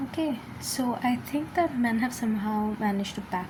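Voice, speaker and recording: A woman speaks amid noticeable background noise and audible room echo. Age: 20s. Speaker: video commentator. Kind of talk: casual monologue. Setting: at home, early morning. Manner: halting, many fillers.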